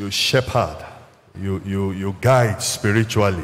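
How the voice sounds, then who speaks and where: A man speaks at a fairly slow pace in a fairly low voice with fairly even intonation. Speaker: church minister. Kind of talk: sermon. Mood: solemn, consoling. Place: church. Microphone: handheld.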